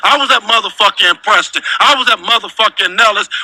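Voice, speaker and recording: Animated in tone, a man talks at a fairly quick pace in a dry, close sound with no echo, with noticeable background noise behind him. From Compton, Los Angeles, California. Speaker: former gang member and ex-prisoner. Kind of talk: storytelling interview. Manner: animated, heavy swearing.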